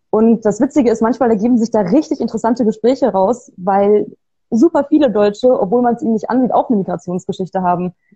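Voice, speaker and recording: At a very fast pace, a woman with a fairly high, somewhat breathy voice speaks with ordinary pitch variation. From Bavaria, Germany. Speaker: author and designer. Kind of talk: interview. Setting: video call.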